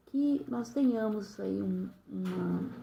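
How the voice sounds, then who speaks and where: A woman talks very slowly, her words carrying audible room echo. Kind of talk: bible reflection. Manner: smiling while speaking; hesitant, many fillers.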